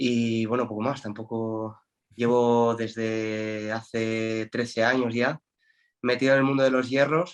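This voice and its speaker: At a fairly slow pace, a man speaks in a monotone, flat intonation at medium pitch. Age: 30s. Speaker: natural bodybuilder. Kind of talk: podcast interview.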